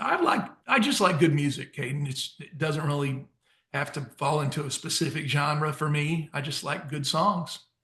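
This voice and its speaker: A man speaks with a bright, sharp tone and a fairly high pitch. His intonation is fairly even and his pace moderate. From US Midwest, St. Louis area and Southern Illinois. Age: 50s. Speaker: country songwriter and singer. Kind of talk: interview. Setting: remote call.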